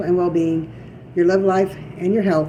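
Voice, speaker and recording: Amid noticeable background noise and audible room echo, a woman talks at a fairly quick pace with a fairly low pitch and ordinary pitch variation. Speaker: tarot reader. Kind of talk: tarot reading. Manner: halting; reading from notes.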